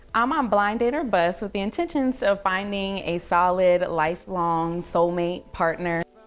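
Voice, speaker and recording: A woman with an American accent speaks at a moderate pace with hardly any pauses. Hers is a plain, everyday voice, medium in pitch with ordinary pitch variation. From Southern California. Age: 20s. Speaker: educator. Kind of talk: dating show conversation.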